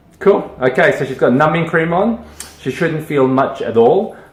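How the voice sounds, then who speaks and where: Amid noticeable background noise, a man talks at a moderate pace with lively intonation. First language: Malay. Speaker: dermatologist. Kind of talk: tutorial. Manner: casual, hesitant with many fillers.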